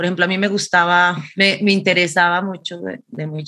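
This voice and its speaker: A bright, sharp tone moves at a moderate pace with fairly even intonation. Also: woman. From Colombia. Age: 40s. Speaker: performance artist. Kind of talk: interview.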